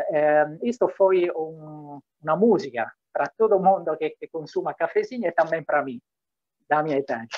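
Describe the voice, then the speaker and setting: A man with an Italian accent talks at a fairly slow pace with ordinary pitch variation against a quiet background. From Italy. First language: Italian (speaking Portuguese). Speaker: diplomat. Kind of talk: welcome speech. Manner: mixes Italian, Portuguese and Spanish. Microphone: video call.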